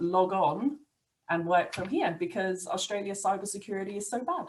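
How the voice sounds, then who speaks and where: A woman's medium-pitched voice with an English accent at a moderate pace. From England. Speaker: IT business owner. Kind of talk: podcast interview.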